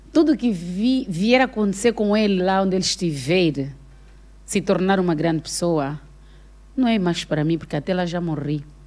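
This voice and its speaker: A woman speaks in a normal speaking voice at medium pitch and a moderate pace. Her intonation is lively, and the recording is very clean with a silent background. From Angola, Benguela province. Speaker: actress and comedian. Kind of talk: casual chat.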